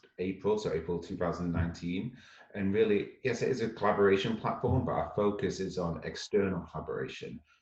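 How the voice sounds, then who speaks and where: Somewhat breathy and fairly low in pitch, a man talks at a fairly quick pace with hardly any pauses and ordinary pitch variation. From northwest England. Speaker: startup founder. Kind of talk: interview. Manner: fast.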